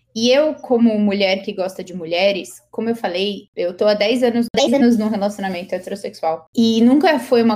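A woman speaks at a moderate pace with a medium pitch and ordinary pitch variation. Hers is an unremarkable speaking voice. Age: 20s. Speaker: author. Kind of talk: interview.

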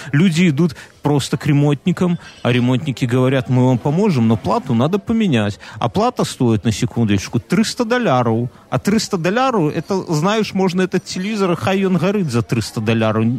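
With very wide pitch swings, a man speaks at a fairly high pitch in a dry, close sound with no echo. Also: moderate pace. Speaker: podcast co-host. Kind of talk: casual chat.

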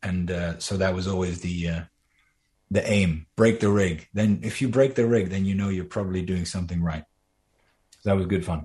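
Against a quiet background, a man with a very deep, low voice speaks at a moderate pace in a dark, mellow, somewhat breathy tone. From Netherlands. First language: Dutch. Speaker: animator and voice actor. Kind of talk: interview.

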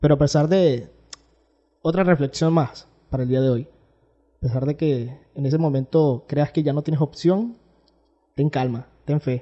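A man with a Venezuelan accent and a fairly high pitch, at a fairly slow pace with long, frequent pauses and ordinary pitch variation. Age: 20s. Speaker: podcast host. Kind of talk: casual interview chat.

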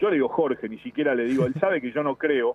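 A man with a fairly high pitch, ordinary pitch variation and a fairly quick pace. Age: 50s. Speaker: TV foreign correspondent. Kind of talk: interview. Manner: formal journalistic tone.

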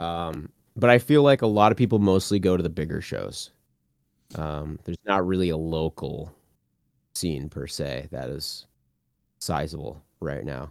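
A man speaks fairly slowly with a very deep, low pitch, vocal fry, lively intonation and big swings in loudness. He leaves long, frequent pauses, and the recording is very clean, with a silent background. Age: 30s. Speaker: deathcore vocalist. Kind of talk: casual chat.

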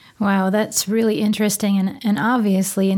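A woman with an American accent, an unremarkable speaking voice, medium pitch, fairly even intonation and a fairly quick pace. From Wisconsin. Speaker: podcast co-host. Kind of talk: casual interview chat.

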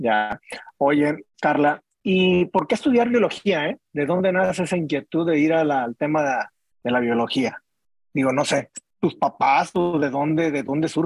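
A man talks fairly slowly with a fairly high pitch and lively intonation. The sound is dry and close, with no echo. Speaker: podcast host. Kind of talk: interview. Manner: casual, animated.

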